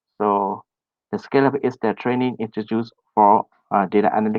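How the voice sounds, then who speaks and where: A monotone voice in a Burmese accent, flat in intonation. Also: man. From Myanmar. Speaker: data professional trainer. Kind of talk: online presentation. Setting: online meetup, screen share. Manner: halting, many fillers.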